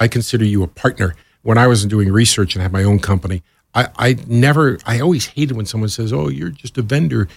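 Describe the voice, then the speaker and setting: Somewhat breathy, the voice moves at a very fast pace with lively intonation. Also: man, fairly low pitch for a man. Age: 60s. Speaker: radio programming executive. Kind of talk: interview.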